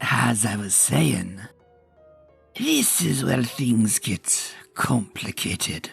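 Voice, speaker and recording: Faint music plays in the background as a man does a cartoonish character voice, fairly low in pitch and at a very slow pace. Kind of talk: campfire ghost story. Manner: drawling, folksy.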